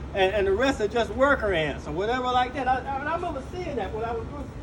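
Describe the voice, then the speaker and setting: A man with an extremely high pitch and very wide pitch swings talks over noticeable background noise. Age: 60s. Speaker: Air Force veteran. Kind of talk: interview answer.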